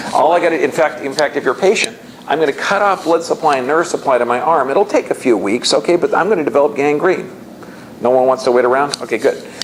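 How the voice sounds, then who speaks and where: Very fast speech at very even loudness, with ordinary pitch variation, against noticeable background noise. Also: man, fairly high pitch for a man. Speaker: health seminar speaker. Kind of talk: lecture.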